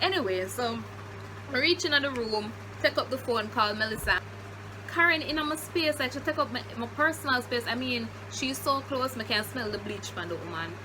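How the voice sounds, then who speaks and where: In a Jamaican accent, the speaker talks in an animated tone at a moderate pace over noticeable background noise. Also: woman. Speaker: YouTuber. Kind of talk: storytime.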